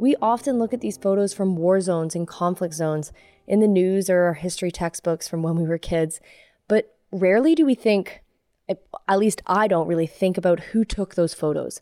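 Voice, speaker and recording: The woman's dark, mellow tone sits at medium pitch with ordinary pitch variation, delivered at a moderate pace with a dry, close sound and no echo. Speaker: podcast host. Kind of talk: scripted narration.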